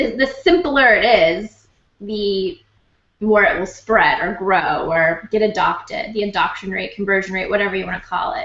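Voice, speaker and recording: The intonation is lively and the pace moderate. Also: woman. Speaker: marketing consultant and blogger. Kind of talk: casual interview chat.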